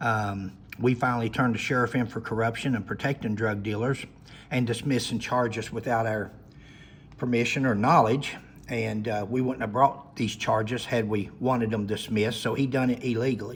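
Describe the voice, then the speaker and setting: In an Appalachian accent, a man speaks at a moderate pace with a medium pitch, a monotone, flat intonation and a somewhat breathy quality. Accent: Appalachian Southern US. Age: 60s. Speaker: retired law enforcement officer. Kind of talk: personal storytelling monologue. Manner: halting.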